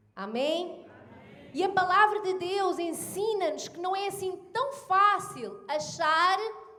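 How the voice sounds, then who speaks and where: With a European Portuguese accent, a woman speaks at an extremely high pitch and a very slow pace. Her intonation is lively, and the room echo is audible. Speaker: pastor. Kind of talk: sermon.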